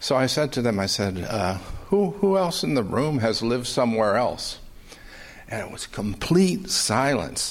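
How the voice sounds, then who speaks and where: A man at medium pitch with very wide pitch swings and a moderate pace. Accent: American. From California. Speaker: audience questioner. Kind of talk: audience question.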